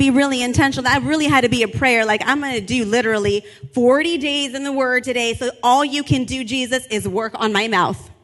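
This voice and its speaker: Loud and animated, a woman rattles along at a very fast pace with hardly any pauses, her high voice showing ordinary pitch variation over noticeable background noise. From Latin American heritage. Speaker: pastor. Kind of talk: sermon.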